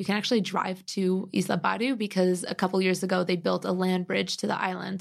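A woman with an American accent, medium pitch and monotone, flat intonation, moving at a fairly quick pace on a very clean recording with a silent background. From US Midwest (Cleveland, Chicago). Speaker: travel editor and writer. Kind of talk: casual interview.

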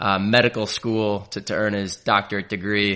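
Against a quiet background, a man speaks at a moderate pace in a fairly low pitch. His tone is bright and sharp, his intonation monotone and flat. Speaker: sports podcast host. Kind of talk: casual sports analysis chat.

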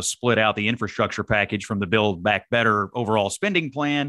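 Fairly low in pitch, a man with an American accent talks at a moderate pace with fairly even intonation. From Kentucky, Dawson Springs. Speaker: political operative. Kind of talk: interview.

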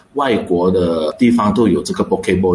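A man speaks fairly quickly while noticeable background noise carries on around him. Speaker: restaurant chain co-founder and executive director. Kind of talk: radio interview.

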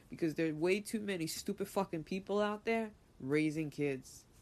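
A woman talks at a fairly quick pace with lively intonation and a fairly low pitch. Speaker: podcast host reading and commenting on an article. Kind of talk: angry rant; reading aloud with commentary. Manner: angry, profane and indignant; improvised, casual.

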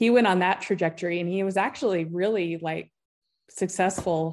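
Against a quiet background, a woman with an American accent uses a normal speaking voice and fairly even intonation. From Utah. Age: 40s. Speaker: author and endurance athlete. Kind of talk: casual interview chat.

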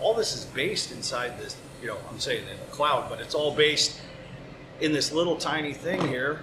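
Noticeable background noise and audible room echo surround a man speaking at a moderate pace in an American accent, his loudness swinging widely. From US West Coast, San Francisco. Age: 40s. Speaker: master butcher. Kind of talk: casual interview. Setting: on site in a butcher shop.

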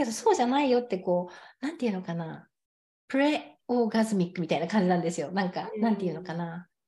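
A woman talks at a very fast pace in a medium-pitched, somewhat breathy voice with a dark, mellow tone and lively intonation. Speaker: sex coach. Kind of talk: casual chat.

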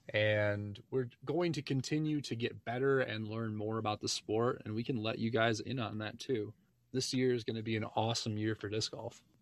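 A man with an ordinary speaking voice, medium pitch, fairly even intonation, and a moderate pace. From Michigan. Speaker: podcast host. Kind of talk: casual chat.

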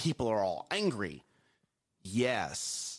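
Loud and animated, a man speaks at a medium pitch with very wide pitch swings. The background is quiet. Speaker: morning show co-host. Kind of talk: casual chat. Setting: studio.

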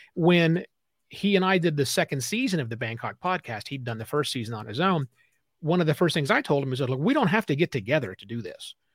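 Talking at a very fast pace, a man with a fairly high, somewhat breathy voice makes very wide pitch swings in a very clean recording with a silent background and a dry, close sound with no echo. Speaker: podcaster and consultant. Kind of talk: casual interview.

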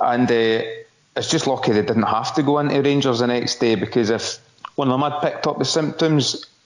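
A man in a Scottish accent at a moderate pace, with noticeable background noise behind him. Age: 40s. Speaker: football pundit. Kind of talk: casual chat.

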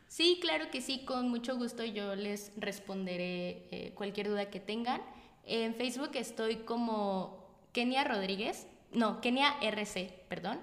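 Over noticeable background noise and audible room echo, a woman speaks at a very slow pace with a fairly high pitch and ordinary pitch variation. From Mexico, Morelia. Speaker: solo traveler. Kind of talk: casual interview. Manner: animated.

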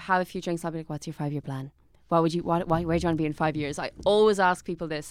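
In an Irish accent, the voice shows ordinary pitch variation on a very clean recording with a silent background. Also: woman. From Ireland. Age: 20s. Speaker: actor and writer. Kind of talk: casual chat.

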